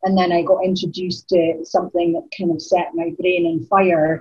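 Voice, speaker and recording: Speaking with a northeast Scottish accent, a woman uses fairly even intonation at a moderate pace and medium pitch. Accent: Scottish (north-east). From Aberdeen, Scotland. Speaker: spoken word poet. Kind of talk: casual interview chat.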